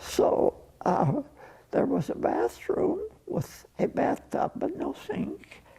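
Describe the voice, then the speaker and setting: A very slow pace marks this man with an American accent, with noticeable background noise behind him. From US West, Colorado (Roaring Fork Valley). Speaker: oral history interviewee, rancher's son. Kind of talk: oral history interview. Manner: halting.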